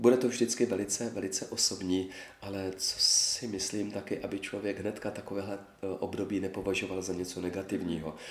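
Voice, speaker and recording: A man's fairly low, monotone, flat voice at a fairly quick pace. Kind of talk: interview.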